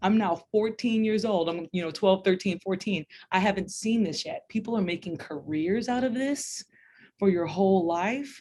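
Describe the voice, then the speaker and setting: Over a quiet background, a woman with a dark, mellow tone and medium pitch speaks at a moderate pace with ordinary pitch variation. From Louisiana, later Texas. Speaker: music educator. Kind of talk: interview.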